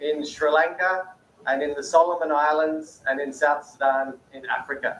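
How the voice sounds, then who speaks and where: With an Australian accent, a man talks at a fairly slow pace. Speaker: peace-building speaker. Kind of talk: panel talk.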